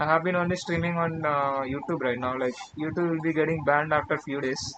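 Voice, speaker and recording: A man with an Indian accent talks at a fairly quick pace in a fairly high pitch. His intonation is monotone and flat, with noticeable background noise around him. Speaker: live-coding streamer. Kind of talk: casual live stream while coding. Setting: live stream. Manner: halting.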